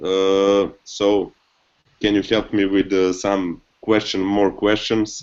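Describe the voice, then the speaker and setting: Spoken very slowly with a non-native accent, the voice stays monotone and flat at a very even loudness. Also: man, fairly low pitch for a man. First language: not English. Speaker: company co-founder. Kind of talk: live video hangout interview. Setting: video call. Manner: halting, repeats words.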